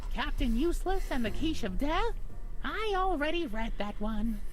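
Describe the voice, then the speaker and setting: Against clear background noise, a put-on character voice speaks at a moderate pace in a high pitch. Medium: game stream. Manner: earnest, fussy.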